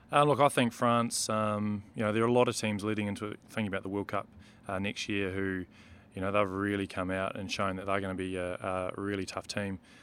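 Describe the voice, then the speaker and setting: A man with a New Zealand accent, fairly low in pitch, fairly quick and monotone, with flat intonation. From New Zealand, Marlborough. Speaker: rugby referee. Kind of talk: casual interview. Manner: hesitant, many ums.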